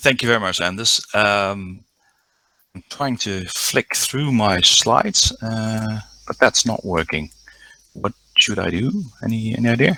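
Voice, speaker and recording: A man with a Dutch accent speaks in a medium pitch with a bright, sharp tone and ordinary pitch variation. His pace is fairly slow, broken by long, frequent pauses. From Netherlands. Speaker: diving instructor. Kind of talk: conference presentation. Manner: halting, many fillers.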